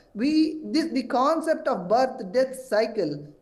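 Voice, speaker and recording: A man is talking, and audible room echo follows his words. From South India. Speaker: temple activist and commentator. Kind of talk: TV news interview. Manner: halting, many false starts.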